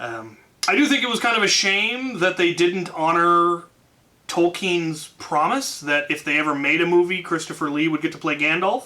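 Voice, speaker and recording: Loud and high-pitched, a man speaks at a moderate pace with lively intonation over noticeable background noise. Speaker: YouTuber answering fan questions. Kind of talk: casual Q&A. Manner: hesitant, many fillers.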